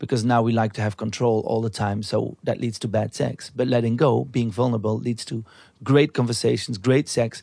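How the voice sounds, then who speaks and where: In a Flemish accent, a man talks at a moderate pace and medium pitch with ordinary pitch variation. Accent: Belgian Dutch-accented English. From Belgium. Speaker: artist and TV host, researcher of fantasies. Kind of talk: casual interview conversation. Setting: recorded in a bed in Amsterdam.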